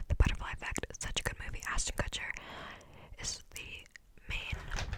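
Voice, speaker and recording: A woman whispering at a moderate pace with an American accent, noticeable background noise behind her. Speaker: ASMR creator. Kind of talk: ASMR Q&A, casual talk to camera. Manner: whispered, rambling, soft-spoken.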